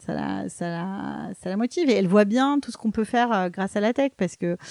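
A woman with a dark, mellow tone and ordinary pitch variation is heard in a dry, close sound with no echo against a quiet background. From Paris, France. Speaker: tech startup CEO. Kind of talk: interview. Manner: hesitant, repeats words.

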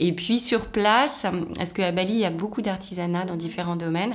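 Noticeable background noise and audible room echo surround this recording. A woman with a fairly low voice talks at a fairly quick pace with ordinary pitch variation. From Brittany, France (Rennes). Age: 40s. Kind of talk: casual interview chat.

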